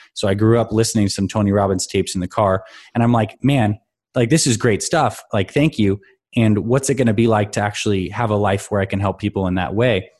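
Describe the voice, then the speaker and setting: An ordinary speaking voice from a man with an American accent, fairly low in pitch, moving at a fairly quick pace with ordinary pitch variation. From Toronto, Canada (early years Syracuse, New York). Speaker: physician and fitness coach. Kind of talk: podcast interview.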